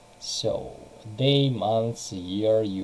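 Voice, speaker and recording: Noticeable background noise beneath a very slow delivery. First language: Russian. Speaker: English teacher. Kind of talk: online lesson.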